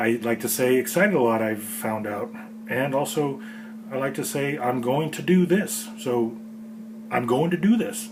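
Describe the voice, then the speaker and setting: With an American accent and fairly high pitch, a man talks in very wide pitch swings against noticeable background noise and audible room echo. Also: moderate pace. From California. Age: middle-aged. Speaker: home cook host. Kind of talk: casual vlog commentary. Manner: halting.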